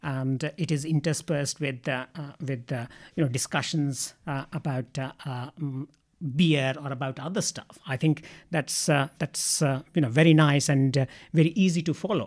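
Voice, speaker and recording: A man at a fairly high pitch with an Indian accent, moderate pace and fairly even intonation, in a very clean recording with a silent background. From India, Ranchi. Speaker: psychiatrist. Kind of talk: interview. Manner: halting.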